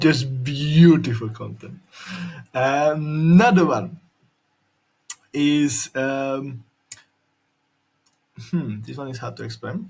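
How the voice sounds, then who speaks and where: A somewhat breathy, fairly high-pitched male voice at a very slow pace, with long, frequent pauses. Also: ordinary pitch variation. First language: Slovak. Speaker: YouTuber. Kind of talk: tutorial demo.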